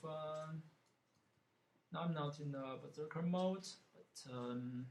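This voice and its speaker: Someone with a non-native accent speaks at a very slow pace with fairly even intonation, and the recording has audible room echo. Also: man. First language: not English. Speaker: gaming streamer. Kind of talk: gameplay commentary. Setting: live stream. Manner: halting, many fillers.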